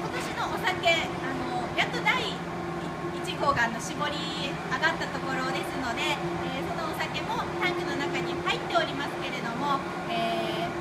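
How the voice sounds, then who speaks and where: A woman talks at a fairly slow pace. Loud background noise runs behind her. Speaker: brewery tour guide. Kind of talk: guided tour explanation. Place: factory. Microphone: phone near.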